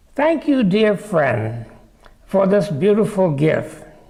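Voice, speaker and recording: Here a man speaks with an American accent. Audible room echo surrounds his voice. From Japan then United States. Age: 80s+. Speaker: congregation member. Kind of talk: personal story.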